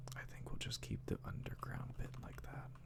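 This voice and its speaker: Against noticeable background noise, a soft-spoken man talks in a relaxed tone. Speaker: Minecraft ASMR content creator. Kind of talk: soft-spoken ASMR gameplay narration. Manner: soft-spoken, slow, relaxed.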